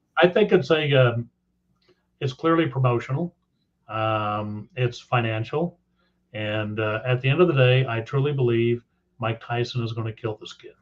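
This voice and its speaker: A man with a medium pitch and a somewhat breathy voice speaks at a moderate pace, with ordinary pitch variation. His loudness swings widely, and he takes long, frequent pauses. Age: 60s. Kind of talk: casual chat.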